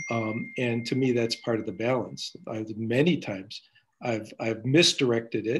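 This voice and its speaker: A man talks at a moderate pace in a medium pitch. His is an unremarkable speaking voice. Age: 60s. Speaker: community organizer and workshop leader. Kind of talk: panel discussion.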